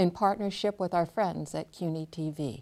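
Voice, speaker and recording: In a plain, everyday voice, a woman speaks at a moderate pace with a fairly low pitch and ordinary pitch variation, over a very clean recording with a silent background. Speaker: interviewer host. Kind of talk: moderated panel interview.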